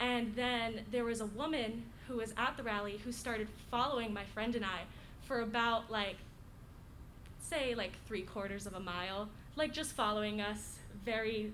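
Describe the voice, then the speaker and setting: Audible room echo surrounds a woman with an American accent who speaks at a fairly high pitch, at a moderate pace, with fairly even intonation. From Florida, US. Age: 19. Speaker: college student. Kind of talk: casual introduction and story. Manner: halting, many fillers.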